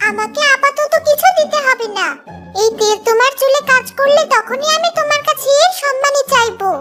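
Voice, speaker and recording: Clear music plays in the background. A woman at a moderate pace uses a cartoonish character voice pitched extremely high. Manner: smooth, persuasive.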